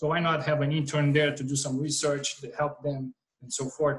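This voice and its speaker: A man speaks with a Portuguese accent. His pitch is fairly high. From Brazil. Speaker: startup co-founder. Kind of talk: casual interview.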